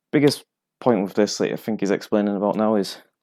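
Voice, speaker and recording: A man with a strong northern English accent talks at a fairly quick pace in a fairly low pitch, his dark, mellow tone carrying ordinary pitch variation on a very clean recording with a silent background. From northern England. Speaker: bartender streaming flair tutorials. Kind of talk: casual live-stream tutorial.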